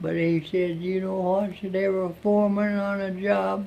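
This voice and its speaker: An Appalachian accent with monotone, flat intonation at a fairly slow pace. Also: man. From southern West Virginia. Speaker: Civilian Conservation Corps veteran. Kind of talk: interview answer. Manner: folksy, plain-spoken.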